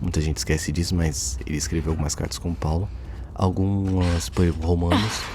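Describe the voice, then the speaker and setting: A man whispers. His pace is moderate. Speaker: gaming youtuber commenting on theology. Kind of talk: casual gameplay commentary. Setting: at home at night. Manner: whispering; halting.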